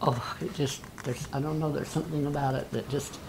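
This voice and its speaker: A woman's very deep, low voice at a moderate pace, under noticeable background noise. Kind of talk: casual family conversation.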